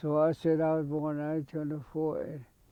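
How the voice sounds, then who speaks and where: In a Southwestern US accent, this man talks at a moderate pace with a fairly high pitch. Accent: Navajo-accented English. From Navajo reservation, New Mexico. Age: 80s+. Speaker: war veteran. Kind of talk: oral history interview. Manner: halting.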